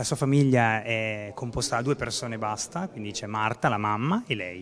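Light background noise accompanies a man at a medium pitch, talking at a fairly quick pace with fairly even intonation. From born in Africa, raised partly in the Marche, Italy. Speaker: film director and actor; actor. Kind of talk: press interview. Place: home room. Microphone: handheld.

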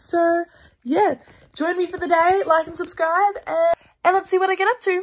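Moderate pace, with an Australian accent. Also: woman. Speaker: vlogger. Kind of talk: casual vlog talk to camera.

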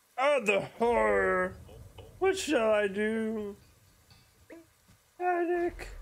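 A put-on character voice comes at a very slow pace with a fairly high pitch. Long, frequent pauses break it up. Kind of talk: let's play commentary, reading game dialogue aloud. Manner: panicking, melodramatic. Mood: mock dramatic, playful.

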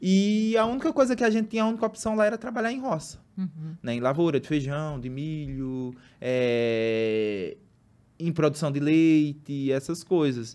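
A man talks in a fairly high voice. His pitch swings very widely. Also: moderate pace. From Brazil, Pernambuco interior; Pernambuco, Brazil. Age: 30s. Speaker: marathon runner; guest. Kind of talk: casual chat. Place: studio. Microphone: studio mic.

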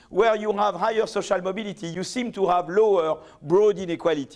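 Against a quiet background, a man talks at a fairly quick pace with a French accent. His pitch is high. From France. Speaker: economics professor. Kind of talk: lecture. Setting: stage with audience. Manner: halting. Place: hall. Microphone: podium.

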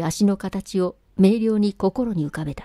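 In an ordinary speaking voice, a woman talks at a fairly slow pace and medium pitch with ordinary pitch variation, in a very clean recording with a silent background and a dry, close sound with no echo. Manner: formal, literary diction, earnest and intimate when addressing the wife in the letter.

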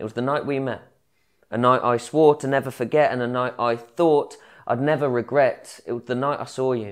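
With a quiet background, a man speaks at a moderate pace in fairly even intonation. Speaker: spoken word poet. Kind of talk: spoken word poetry performance. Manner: rhythmic, rhyming delivery with storytelling flow; wry, conversational, mock-casual tone with crude humour. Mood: reflective, intimate. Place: workshop. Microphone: lapel.

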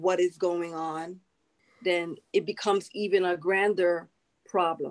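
A woman speaks at a very slow pace in a fairly low pitch, with fairly even intonation against a quiet background. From United States. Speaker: nurse practitioner and army veteran; panelist. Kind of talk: panel discussion. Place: home room. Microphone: video call.

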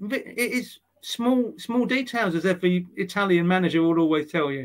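A man talks with an English accent. His intonation is lively. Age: 50s. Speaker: sports journalist. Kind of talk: casual interview.

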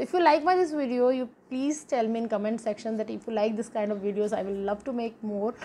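Speaking very fast with an Indian accent, a woman uses ordinary pitch variation over light background noise. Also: fairly high pitch for a woman, hardly any pauses. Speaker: YouTube English teacher. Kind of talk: tutorial; casual vlog sign-off. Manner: animated. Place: home room. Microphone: phone near.

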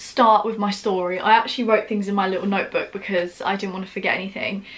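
A woman rushes along at a very fast pace with monotone, flat intonation. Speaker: vlogger. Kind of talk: casual vlog chat. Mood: earnest, caring. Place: home room.

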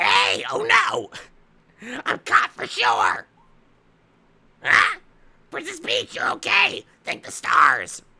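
A man uses a put-on character voice at an extremely high pitch. He speaks at a very slow pace with long, frequent pauses. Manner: panicked then relieved.

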